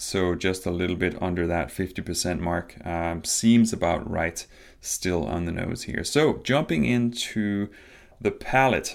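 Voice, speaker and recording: Lively intonation marks this man's very deep, low voice, delivered at a fairly slow pace. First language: not English. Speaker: podcast host, spirits reviewer. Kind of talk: solo tasting review monologue. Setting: home recording on video. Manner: casual, hesitant with fillers.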